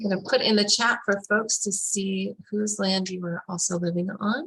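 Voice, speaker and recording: Using a plain, everyday voice, a woman talks at a moderate pace with fairly even intonation. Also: medium pitch for a woman. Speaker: webinar facilitator. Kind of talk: webinar presentation.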